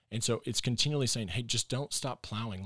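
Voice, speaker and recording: On a very clean recording with a silent background, a man speaks with a Texan accent. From Texas. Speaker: pastor. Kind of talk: casual interview chat. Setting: studio.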